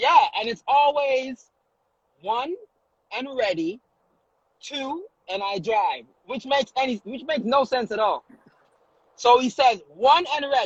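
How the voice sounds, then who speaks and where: In a Jamaican accent, a man speaks at a fairly slow pace with an extremely high pitch, long, frequent pauses and big swings in loudness. His tone is animated and his intonation lively, with a dry, close sound and no echo. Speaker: comedian and social media influencer. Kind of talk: casual chat.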